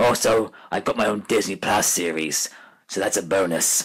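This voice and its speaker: A man's raspy, fairly low-pitched, put-on character voice. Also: moderate pace. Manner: smug, theatrical.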